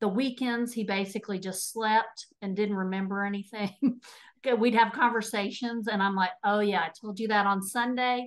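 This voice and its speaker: Speaking with a Texas accent, a woman uses medium pitch, fairly even intonation, and a moderate pace against a quiet background. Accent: Texas accent, noticeable. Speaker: nutrition and habit coach. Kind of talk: interview testimony.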